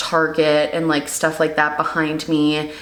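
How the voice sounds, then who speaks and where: A woman speaks with noticeable background noise. Audible room echo surrounds her voice. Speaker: beauty YouTuber and vlogger. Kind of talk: casual reaction video chat. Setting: home studio. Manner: casual, filler-heavy; lower, natural speaking pitch.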